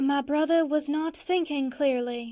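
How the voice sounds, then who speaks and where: A woman's high-pitched, put-on character voice, fairly slow, with fairly even intonation. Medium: read story. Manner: clipped, icy.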